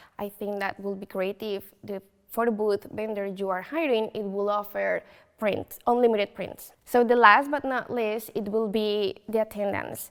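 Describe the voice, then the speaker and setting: A woman with a Colombian accent talks at a moderate pace and a fairly high pitch. Her intonation stays fairly even. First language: Spanish. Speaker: photo booth business owner. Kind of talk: interview. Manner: hesitant, many fillers.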